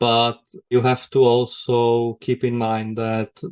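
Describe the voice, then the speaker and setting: A man with a Czech accent, medium pitch and monotone, flat intonation over a quiet background. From Czech Republic. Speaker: technical writer. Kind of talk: podcast interview.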